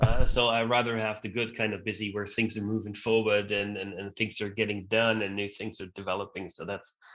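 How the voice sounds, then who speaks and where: Talking at a fairly quick pace with hardly any pauses, a man keeps a monotone, flat intonation at a fairly low pitch. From Austria (Vienna, then Graz). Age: 40s. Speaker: event co-founder and CEO. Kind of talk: interview. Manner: casual, with many fillers and repetitions.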